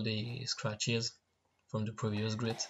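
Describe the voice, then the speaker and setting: Somewhat breathy, a man with a French accent speaks at a medium pitch and a moderate pace. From France. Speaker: knifemaker. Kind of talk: tutorial voiceover.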